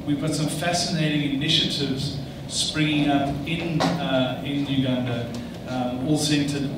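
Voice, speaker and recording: Loud background noise and audible room echo surround the recording. A man speaks at a fairly slow pace. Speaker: panel moderator. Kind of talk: panel moderation introduction. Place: hall.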